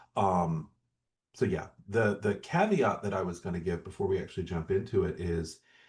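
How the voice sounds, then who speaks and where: At a moderate pace, a man with an American accent talks at a very deep, low pitch in a somewhat breathy voice with fairly even intonation. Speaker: podcast co-host. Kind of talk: casual chat.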